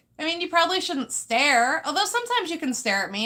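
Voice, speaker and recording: A woman's raised, projected voice, high in pitch, bright and sharp in tone, with very wide pitch swings. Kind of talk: live stream talk.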